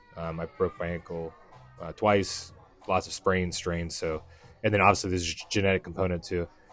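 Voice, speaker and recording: Over music in the background, a man with a very deep, low pitch speaks at a fairly quick pace with fairly even intonation. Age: 30s. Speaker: fitness vlogger, powerlifter. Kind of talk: voiceover narration of training footage. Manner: casual, conversational with fillers.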